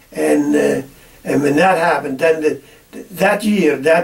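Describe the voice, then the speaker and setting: A man talks fairly high in pitch as noticeable noise carries on in the background. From Netherlands. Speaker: farmer. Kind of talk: oral history interview. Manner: halting, many repetitions.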